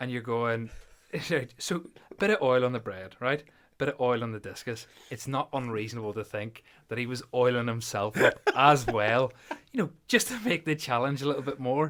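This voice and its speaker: This man has a Belfast accent. He speaks at a moderate pace. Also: medium pitch for a man, ordinary pitch variation. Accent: Northern Irish (Belfast area). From Northern Ireland, near Belfast. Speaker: podcast co-host, powerlifter. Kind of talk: casual chat.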